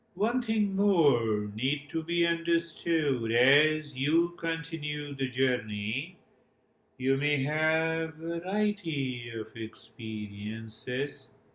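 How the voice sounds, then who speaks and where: Lively in intonation, a man with fairly high pitch speaks at a very slow pace amid audible room echo. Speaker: yoga and mindfulness teacher. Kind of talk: guided meditation; workshop lecture. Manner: modulated, calming.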